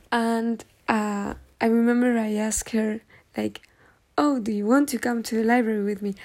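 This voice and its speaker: A woman with a Spanish accent at a fairly high pitch, monotone and flat, at a moderate pace with long, frequent pauses. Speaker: podcaster. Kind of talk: casual monologue. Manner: halting, many fillers.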